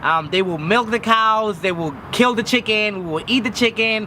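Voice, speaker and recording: A man with a high pitch talks at a fairly quick pace in a raised, projected voice. His pitch variation is ordinary, and there is noticeable background noise. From Mexico. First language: Spanish. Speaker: vlogger. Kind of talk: personal vlog.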